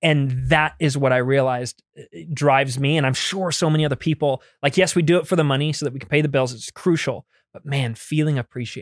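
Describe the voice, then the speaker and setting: A man with a plain, everyday voice talks fairly high and fairly quick, with ordinary pitch variation, hardly any pauses and big swings in loudness, the sound dry and close with no echo. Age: 30s. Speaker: on-set VFX supervisor. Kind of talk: casual chat.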